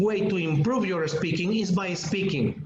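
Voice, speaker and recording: Someone speaks at a fairly slow pace with a Spanish accent. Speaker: English teacher trainer. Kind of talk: webinar lecture.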